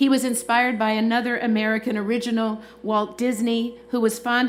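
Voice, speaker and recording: Audible room echo surrounds a woman speaking at a fairly high pitch. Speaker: university leader presiding over commencement. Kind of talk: ceremonial speech. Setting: stadium with audience. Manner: fast.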